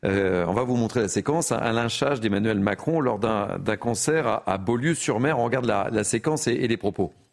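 Heard on a very clean recording with a silent background, this man has an ordinary speaking voice, pitched in the medium range with ordinary pitch variation, and he moves along at a moderate pace. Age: 60s. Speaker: TV news debate host. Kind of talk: televised debate moderation.

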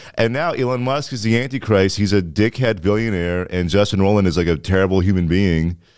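A man with an unremarkable speaking voice talks at a fairly quick pace with hardly any pauses, his fairly low pitch moving with ordinary variation, on a very clean recording with a silent background. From Ottawa, Ontario (Orleans). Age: 20s. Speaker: comedian. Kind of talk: casual chat.

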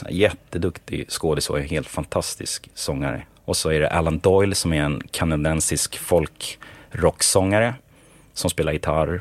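At a fairly slow pace, a man speaks in a very deep, low voice with ordinary pitch variation on a very clean recording with a silent background. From Sweden, Stockholm. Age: 30s. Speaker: songwriter and music producer. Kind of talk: interview.

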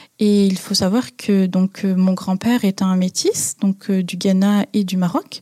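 Fairly slow and somewhat breathy, a woman speaks at medium pitch with a dark, mellow tone in a dry, close sound with no echo. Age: 20s. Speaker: interviewee sharing personal story. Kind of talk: personal testimony. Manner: hesitant, some fillers.

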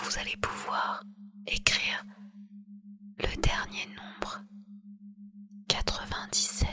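Someone whispers in a soothing tone at a very slow pace, leaving long, frequent pauses. Noticeable background noise can be heard. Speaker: hypnotherapist. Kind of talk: guided hypnosis, sleep induction. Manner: very slow, soft, soothing, hypnotic, repetitive.

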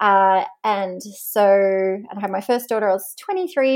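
Over a quiet background, a woman with an Australian accent talks at a medium pitch with ordinary pitch variation. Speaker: online business owner, former military officer. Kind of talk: podcast interview.

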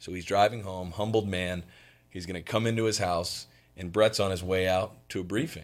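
Recorded very cleanly against a silent background, a man with an American accent talks at a moderate pace in a very deep, low pitch, his intonation fairly even but his loudness swinging widely. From Florida, Fort Myers. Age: 30s. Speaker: insurance business owner. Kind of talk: interview.

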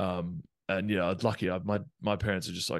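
Against a quiet background, a man with an Australian accent talks very fast in a very deep, low voice with fairly even intonation. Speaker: professional rugby player. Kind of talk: casual interview.

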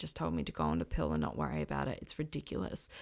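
A woman speaks in an Australian accent at a fairly quick pace. The recording is very clean with a silent background. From Western Australia. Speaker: podcast host. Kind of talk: personal testimony monologue.

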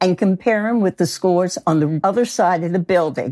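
Recorded dry and close with no echo, a woman uses a normal speaking voice at a medium pitch, talking at a fairly slow pace with lively intonation. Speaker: college professor and noise researcher. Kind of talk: interview, conversational.

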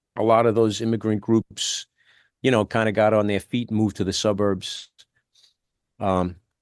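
A man with a New York accent speaks at a moderate pace with fairly low pitch and monotone, flat intonation, recorded dry and close with no echo against a quiet background. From New York (the Bronx). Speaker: musician. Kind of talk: casual chat. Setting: video call.

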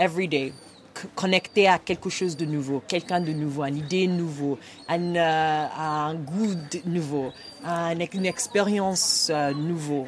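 A speaker with a Nigerian accent talks at a very slow pace, with fairly even intonation. Noticeable background noise runs underneath. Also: woman, fairly low pitch for a woman. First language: Igbo (speaking French). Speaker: women's rights advocate. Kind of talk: podcast interview. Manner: halting.

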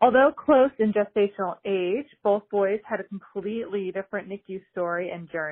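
A woman with an American accent has an ordinary speaking voice at a medium pitch, with ordinary pitch variation. She keeps a moderate pace with hardly any pauses, and her loudness swings widely. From New Jersey, Manahawkin. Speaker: NICU mother sharing message. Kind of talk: recorded message.

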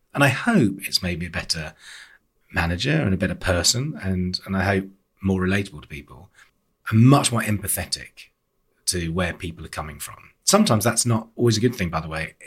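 In a very clean recording with a silent background, a man with a very deep, low pitch and a somewhat breathy voice speaks at a fairly quick pace with ordinary pitch variation and big swings in loudness. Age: 50s. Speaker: arts organisation chief executive. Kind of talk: interview. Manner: animated.

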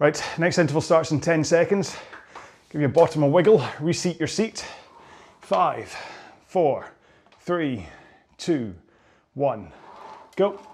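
A man speaks at a fairly high pitch with vocal fry and ordinary pitch variation. He leaves long, frequent pauses. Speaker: rowing coach. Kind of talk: workout instruction. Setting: on a rowing machine. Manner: fast.

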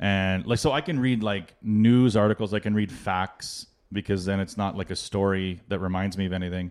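A normal speaking voice, a man at fairly low pitch and moderate pace with fairly even intonation and hardly any pauses, on a very clean recording with a silent background. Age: 40s. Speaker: podcast co-host. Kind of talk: casual chat.

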